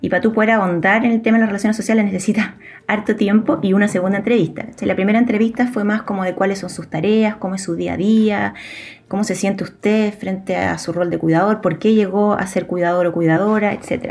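A woman talks very fast, her medium-pitched voice keeping fairly even intonation. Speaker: sociologist, researcher. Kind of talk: interview about research.

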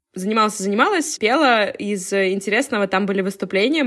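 A woman's plain, everyday voice at a medium pitch and a moderate pace. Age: 20s. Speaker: podcast co-host. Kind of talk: casual chat.

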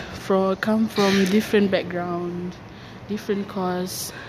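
A woman speaks at a moderate pace in a Malaysian accent, her pitch medium. Her intonation is monotone and flat, and there is noticeable background noise. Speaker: university student. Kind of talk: casual monologue. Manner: halting.

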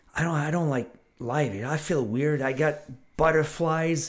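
A man with an unremarkable speaking voice, fairly high in pitch, at a moderate pace with ordinary pitch variation. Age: 60s. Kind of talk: casual chat.

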